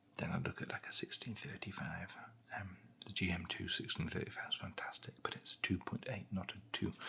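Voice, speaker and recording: A man whispers at a moderate pace in a British accent, with noticeable background noise behind him. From England. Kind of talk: ASMR product unboxing and review. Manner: soft-spoken.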